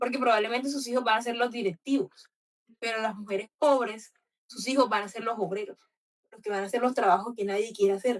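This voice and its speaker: A woman's animated voice at a fairly high pitch, fairly quick in pace, with ordinary pitch variation. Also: big swings in loudness. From Colombian Caribbean coast. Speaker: book club host. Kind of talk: book club discussion.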